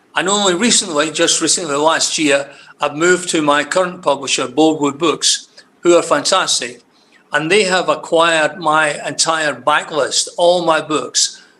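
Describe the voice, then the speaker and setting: A man with a Scottish accent, high pitch, ordinary pitch variation and a fairly slow pace. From Scotland. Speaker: crime novelist. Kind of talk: interview. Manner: halting.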